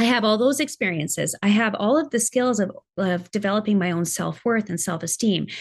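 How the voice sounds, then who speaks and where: A woman talks at a fairly quick pace with a medium pitch. Her tone is animated and her intonation lively. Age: 50s. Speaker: podcast host and life coach. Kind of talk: interview guest, personal story.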